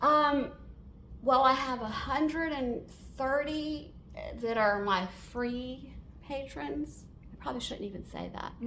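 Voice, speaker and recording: A woman's high-pitched, raised, projected voice at a very slow pace, with long, frequent pauses, big swings in loudness and audible room echo. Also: ordinary pitch variation. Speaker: portrait artist and painting teacher. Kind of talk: Q&A at a member meeting. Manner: halting, many fillers.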